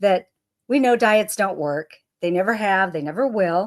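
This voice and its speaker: Lively intonation marks this woman's speech. She has an unremarkable speaking voice at medium pitch. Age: 60s. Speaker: health and income coach. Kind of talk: presentation. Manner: casual, conversational.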